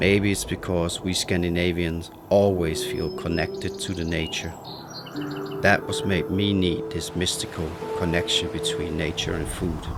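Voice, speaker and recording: A man's very deep, low voice in a Danish accent, with ordinary pitch variation, audible room echo and noticeable background noise. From Denmark. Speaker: chef. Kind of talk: scripted narration. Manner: slow.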